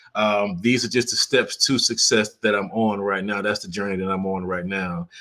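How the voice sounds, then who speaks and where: Relaxed yet bright and sharp in tone, a man with an American accent speaks at a moderate pace with a fairly low pitch and fairly even intonation. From Florida. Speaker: photographer and live streamer. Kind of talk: casual live stream chat. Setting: live stream with screen sharing. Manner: relaxed, conversational with fillers.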